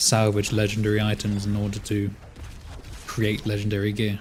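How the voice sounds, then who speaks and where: Somewhat breathy and fairly low-pitched, a man speaks at a moderate pace. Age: 30s. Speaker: video game streamer. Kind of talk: live game stream commentary. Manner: casual, conversational with fillers.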